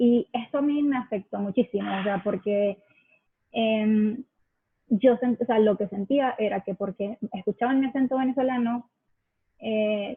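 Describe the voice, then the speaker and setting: A woman keeps a moderate pace and fairly even intonation at a fairly high pitch. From Venezuela. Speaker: accent campaign ambassador. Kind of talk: interview. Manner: hesitant, many fillers.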